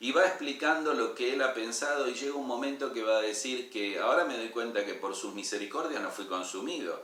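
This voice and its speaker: A man at medium pitch with ordinary variation, moderate pace, noticeable background noise and audible room echo. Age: 60s. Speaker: pastor. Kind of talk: sermon.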